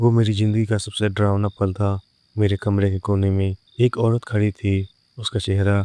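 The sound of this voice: An unforced reading voice is heard with quiet surroundings.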